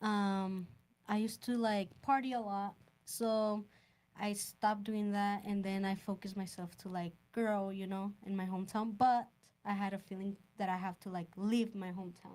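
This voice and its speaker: In a Mexican accent, a woman speaks at a moderate pace and medium pitch with monotone, flat intonation. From Sonora, Mexico. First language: Spanish. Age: 20s. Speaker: home inspector. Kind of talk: podcast interview. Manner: slightly halting, non-native phrasing.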